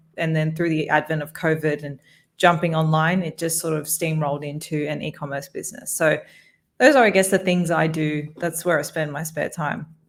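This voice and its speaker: In a very clean recording with a silent background, a woman with a very deep, low voice speaks with an Australian accent and fairly even intonation. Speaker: podcast host and corporate lawyer. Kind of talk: interview conversation.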